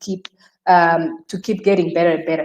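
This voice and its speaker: A woman is talking. She speaks with a Rwandan accent. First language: Kinyarwanda. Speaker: career expert. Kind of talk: webinar discussion. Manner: halting.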